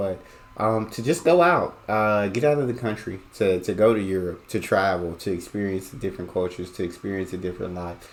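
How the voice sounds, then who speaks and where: The speaker talks at a fairly quick pace with an American accent. Noticeable background noise is present. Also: man. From United States. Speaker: reaction video host. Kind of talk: casual reaction commentary.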